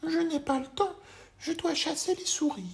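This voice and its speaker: Using a put-on character voice, a man talks at a moderate pace in a squeaky, extremely high pitch. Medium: read story.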